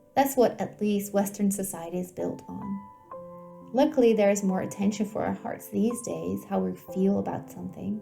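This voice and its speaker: A calm-toned woman with hardly any pauses, music playing in the background. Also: moderate pace. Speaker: homeopath. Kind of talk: guided meditation. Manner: calm, soft-spoken.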